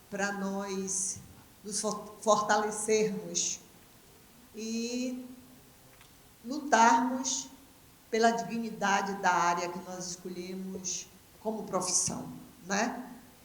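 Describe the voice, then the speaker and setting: Amid noticeable background noise and audible room echo, a woman with a medium pitch speaks at a very slow pace with long, frequent pauses and big swings in loudness. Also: fairly even intonation. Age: 70s. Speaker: dance professor, panel moderator. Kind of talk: panel closing remarks.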